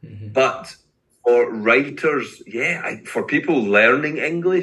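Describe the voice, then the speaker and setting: A man with a Glaswegian accent talks at a moderate pace. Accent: Glaswegian Scottish. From Scotland, Glasgow. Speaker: poet and English teacher. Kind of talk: casual interview.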